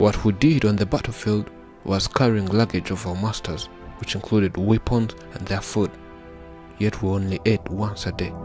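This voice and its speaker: With music playing in the background, a man talks at a moderate pace in a fairly low pitch with ordinary pitch variation. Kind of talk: documentary story narration.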